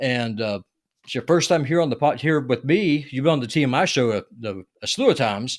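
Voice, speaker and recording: Very cleanly recorded against a silent background, a man with a Southern US accent speaks at medium pitch and a fairly quick pace with lively intonation. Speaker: podcast host. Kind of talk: casual interview chat. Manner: halting, many fillers.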